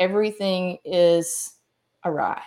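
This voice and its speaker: A woman talks in a Southern US accent. Her fairly low voice keeps a fairly even intonation. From US South, Mississippi. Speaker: author and speaker. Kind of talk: interview.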